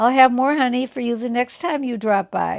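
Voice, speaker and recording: The speaker does a put-on character voice and moves at a moderate pace. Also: woman. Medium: read story.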